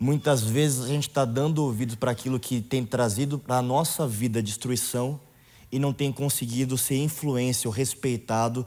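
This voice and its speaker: A man with a plain, everyday voice speaks at medium pitch and a moderate pace, with very even loudness and fairly even intonation. The recording is very clean, with a silent background. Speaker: youth leader. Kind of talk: sermon.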